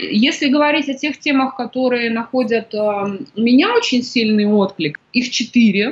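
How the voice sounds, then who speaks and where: Pitch varies in an ordinary way as the speech goes at a moderate speed. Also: woman, high pitch for a woman. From Kazakhstan. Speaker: women's coach and author. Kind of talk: interview.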